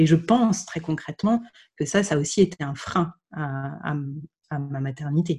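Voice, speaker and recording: Very deep and low in pitch, a woman's somewhat breathy voice has a dark, mellow tone, ordinary pitch variation and a fairly slow pace. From France, Burgundy (Dijon). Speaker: podcaster sharing her infertility journey. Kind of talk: interview. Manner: halting.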